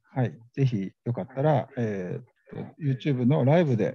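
A man speaks at a moderate pace and medium pitch, somewhat breathy, with a dark, mellow tone. His intonation is lively, and the sound is dry and close with no echo. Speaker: radio host. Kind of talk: live event reporting. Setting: conference venue, live. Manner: halting, many fillers.

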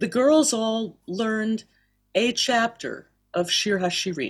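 Speaking very slowly with an American accent, a woman uses a fairly high, somewhat breathy voice with ordinary pitch variation. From US South, Miami. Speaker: cantor and singing teacher. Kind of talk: interview. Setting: video call.

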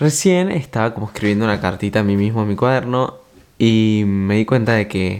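Soft-spoken and fairly quick, a man with a fairly low pitch talks with ordinary pitch variation. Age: 20s. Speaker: podcaster. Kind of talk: casual monologue. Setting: at home late at night.

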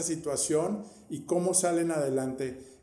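Noticeable background noise and audible room echo surround a man speaking at a very slow pace. His voice is fairly high-pitched with ordinary pitch variation. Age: 50s. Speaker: podcast host. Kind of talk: interview.

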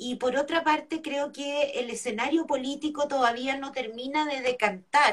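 With hardly any pauses, a woman with a high pitch speaks at a fairly slow pace and with fairly even intonation. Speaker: political candidate and lawyer. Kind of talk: interview.

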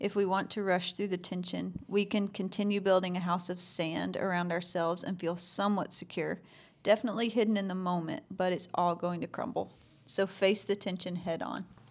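In a very clean recording with a silent background, the speaker goes at a fairly quick pace with monotone, flat intonation. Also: woman, medium pitch for a woman. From Georgia, LaGrange. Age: 30s. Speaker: podcast host's wife, parent and business partner. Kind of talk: casual chat.

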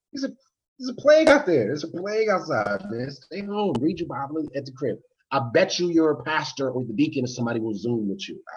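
With an American accent, a man speaks at a very fast pace in a fairly high, somewhat breathy voice. His pitch swings very widely, and his loudness shifts in big swings. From DMV (Washington DC area). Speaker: martial arts instructor and YouTuber. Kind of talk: casual chat.

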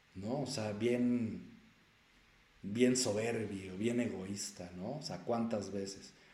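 A man at a very slow pace, fairly low in pitch with fairly even intonation, amid audible room echo. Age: 40s. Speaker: self-help coach and podcast host. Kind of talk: solo motivational talk. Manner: conversational with many filler words.

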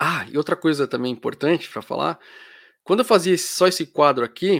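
A man with a fairly high voice is recorded very cleanly against a silent background, the sound dry and close with no echo. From Brazil. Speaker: psychology youtuber and podcaster. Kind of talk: live stream chat with viewers. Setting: live stream. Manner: casual, hesitant with fillers.

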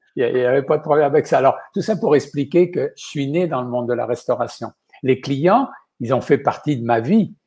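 A man with a fairly high pitch speaks in a somewhat breathy voice with a dark, mellow tone. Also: ordinary pitch variation, moderate pace. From western France (Vendée). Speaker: chef. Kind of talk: interview.

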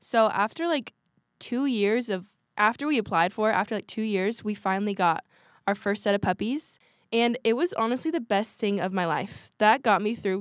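A woman with an American accent speaks in an unremarkable speaking voice at a moderate pace with ordinary pitch variation, on a very clean recording with a silent background. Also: dry, close sound with no echo. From Washington State. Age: young. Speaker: podcast co-host, college student. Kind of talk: casual chat.

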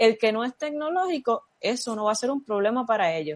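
A woman's high-pitched voice with lively intonation at a fairly quick pace, dry and close with no echo. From Puerto Rico, Vega Baja. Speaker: athletic therapist and public health professional. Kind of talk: interview.

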